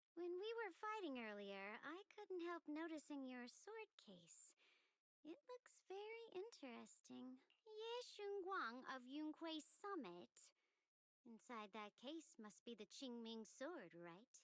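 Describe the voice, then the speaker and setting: Putting on a character voice, a woman talks at a fairly slow pace, high-pitched and with very wide pitch swings. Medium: video game.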